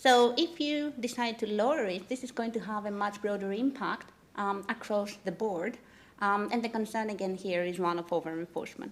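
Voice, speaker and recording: With ordinary pitch variation, a woman speaks at a moderate pace in a fairly high voice. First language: not English. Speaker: legal academic. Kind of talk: conference talk. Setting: conference panel. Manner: frequent fillers (um, uh).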